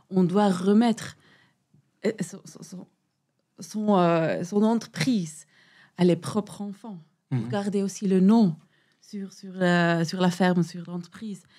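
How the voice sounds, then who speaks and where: Very slowly and with long, frequent pauses, a woman speaks with a dark, mellow tone at medium pitch, with ordinary pitch variation and big swings in loudness, on a very clean recording with a silent background. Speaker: podcast guest. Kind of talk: interview answer.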